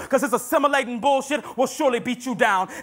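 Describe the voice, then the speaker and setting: Music plays in the background as a raised, projected voice speaks with an American accent. The tone is dramatic and the pace fairly quick. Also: man. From Brooklyn, New York. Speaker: spoken word poet. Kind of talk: spoken word poetry performance. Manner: dramatic, switching between two personas.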